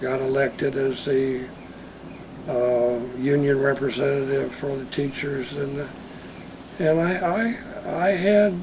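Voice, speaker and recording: The speech comes at a very slow pace, broken by long, frequent pauses. Audible room echo and noticeable background noise fill the recording. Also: man, fairly high pitch for a man, ordinary pitch variation. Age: 70s. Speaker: retired schoolteacher. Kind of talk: interview storytelling. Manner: halting, repetitive.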